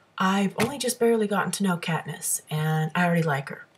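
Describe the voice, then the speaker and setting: Her delivery moves at a fairly quick pace with lively intonation. The woman sounds somewhat breathy. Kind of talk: casual talk to camera. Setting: webcam microphone. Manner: hesitant, stammering.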